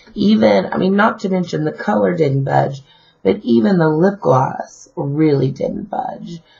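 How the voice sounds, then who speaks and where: A woman speaks fairly slowly in a very deep, low pitch, with noticeable background noise behind her. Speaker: beauty vlogger. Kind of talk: product review vlog. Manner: casual, many fillers.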